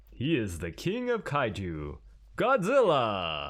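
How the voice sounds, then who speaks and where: A man's booming, dramatic put-on character voice at a fairly slow pace, on a very clean recording with a silent background. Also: medium pitch for a man. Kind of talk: announcer.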